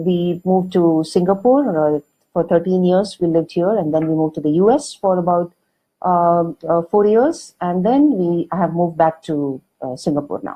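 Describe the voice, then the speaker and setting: A woman speaks with a South Indian accent at a moderate pace. Her voice is fairly low, with ordinary pitch variation. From India, Karnataka. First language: Kannada. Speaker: author and magazine editor. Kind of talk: online talk. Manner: hesitant, many fillers.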